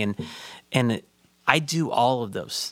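A man with an American accent speaks at a medium pitch. The sound is dry and close with no echo, on a very clean recording with a silent background. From Chicago. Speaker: associate pastor and counselor. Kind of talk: casual discussion.

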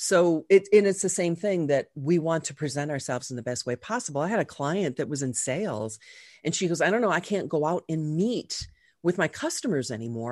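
This woman has an unremarkable speaking voice, fairly low in pitch, with lively intonation over a quiet background. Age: 50s. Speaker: image consultant. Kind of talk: interview conversation.

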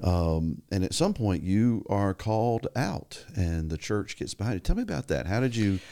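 A man speaks at a fairly low pitch in a dark, mellow tone, with lively intonation and hardly any pauses. The recording is very clean, with a silent background. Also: moderate pace. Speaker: pastor. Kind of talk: casual interview.

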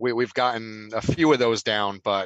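A man's normal speaking voice with an American accent, fairly low in pitch, with fairly even intonation, dry and close with no echo. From New Jersey. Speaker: podcast regular. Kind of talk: casual chat.

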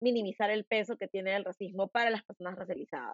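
A woman with a Lima accent, medium-pitched, with ordinary pitch variation and a moderate pace. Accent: Lima Peruvian Spanish. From Peru, Lima. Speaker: podcast host. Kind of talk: interview conversation.

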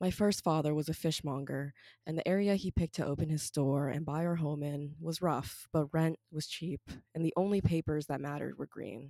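Very deep and low, a woman's voice has a dark, mellow tone and fairly even intonation, recorded very cleanly with a silent background and a dry, close sound with no echo. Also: fairly quick pace. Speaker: student poet. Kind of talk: poetry reading, performed spoken-word narrative. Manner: steady, storytelling, emphatic and heartfelt.

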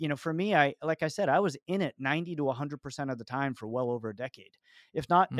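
A plain, everyday voice at a fairly quick pace with lively intonation, dry and close with no echo, on a very clean recording with a silent background. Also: man. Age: 50s. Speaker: business CEO. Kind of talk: interview.

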